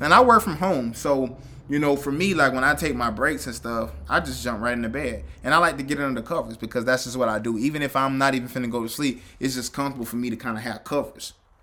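This man's voice sits at medium pitch with ordinary pitch variation. His tone is animated. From US South. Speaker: podcast host. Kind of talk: casual commentary monologue. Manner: halting, repetitive fillers.

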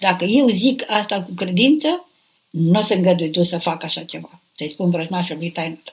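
Somewhat breathy woman's voice at medium pitch, with ordinary pitch variation. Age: 70s. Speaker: nun and abbess answering questions. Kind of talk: live spiritual Q&A. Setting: live online broadcast.

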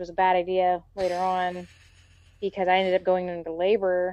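This woman speaks at a medium pitch. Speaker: mother. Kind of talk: casual chat.

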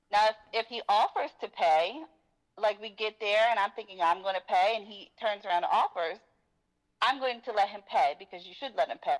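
With an unremarkable speaking voice, a woman talks at a moderate pace and fairly high pitch, her intonation lively and her loudness swinging widely, in a dry, close sound with no echo. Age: 40s. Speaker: caller. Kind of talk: call-in discussion.

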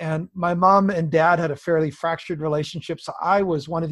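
A man with an ordinary speaking voice and a Canadian accent, fairly high pitch, fairly even intonation and moderate pace. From British Columbia, Canada. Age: 50s. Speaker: pastor. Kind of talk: interview.

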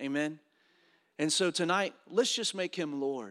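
This man has a fairly high pitch and ordinary pitch variation in a normal speaking voice. The sound is dry and close, with no echo. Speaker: pastor. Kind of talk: sermon. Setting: church.

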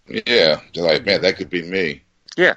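Speech at a moderate pace sounds dry and close, with no echo. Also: man. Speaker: podcast co-host. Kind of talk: casual banter. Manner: crude, jokey.

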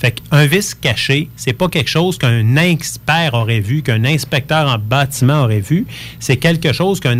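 A man's plain, everyday voice at medium pitch, with very even loudness, ordinary pitch variation and a moderate pace. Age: 40s. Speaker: real estate lawyer. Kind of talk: radio interview.

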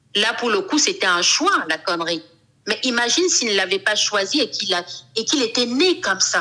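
With noticeable background noise behind her, a woman speaks at a moderate pace with a fairly high pitch, very wide pitch swings and very even loudness. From Cameroon. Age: 40s. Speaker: fashion designer and LGBT activist. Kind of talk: interview.

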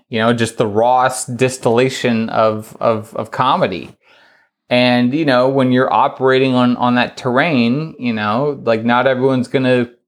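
On a very clean recording with a silent background, a man with an ordinary speaking voice talks fairly slowly at medium pitch with fairly even intonation. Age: 30s. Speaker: comedy writer and interviewer. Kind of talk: casual chat.

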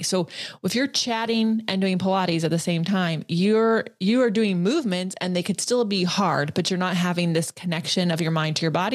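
A woman speaks in a plain, everyday voice at a medium pitch with lively intonation. The recording is very clean, with a silent background. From California. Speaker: Pilates instructor and podcast host. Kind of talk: casual interview chat.

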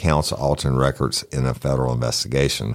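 A man speaks with a Southern US accent. The recording is very clean, and the background is silent. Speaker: true crime podcast host. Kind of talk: casual chat.

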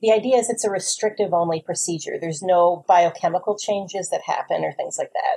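With a New Jersey accent, a woman talks at a fairly quick pace with hardly any pauses. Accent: New Jersey American. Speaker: weight loss surgery patient. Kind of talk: explanatory testimony.

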